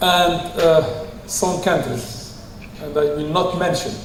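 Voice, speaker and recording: Room echo is audible as a man speaks over noticeable background noise. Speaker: public health official. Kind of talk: conference presentation. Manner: hesitant, many fillers.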